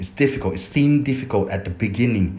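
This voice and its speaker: A man with a non-native accent speaks at a medium pitch, his voice somewhat breathy. His tone is dark and mellow, and his pitch swings very widely. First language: Thai. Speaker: affiliate marketer, YouTuber. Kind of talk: casual vlog tutorial. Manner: halting.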